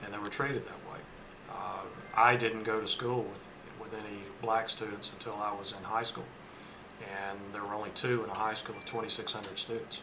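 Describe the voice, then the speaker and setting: A man with an American accent speaks at a fairly low pitch and a fairly quick pace, in a monotone, flat intonation with big swings in loudness. Noticeable background noise and audible room echo fill the recording. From Charlotte, North Carolina. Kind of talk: oral history interview.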